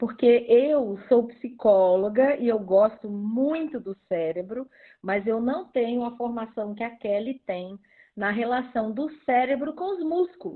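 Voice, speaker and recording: Fairly slow and fairly high-pitched, a woman talks in an unremarkable speaking voice. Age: 60s. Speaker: psychologist. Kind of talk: casual chat. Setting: livestream, audio only.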